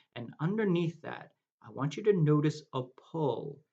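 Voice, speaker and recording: A man speaks with a slight New Jersey accent. His pitch varies in an ordinary way. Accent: slight New Jersey accent on some words. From US Northeast, New Jersey. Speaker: meditation guide. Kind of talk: guided meditation. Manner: slow; soft-spoken.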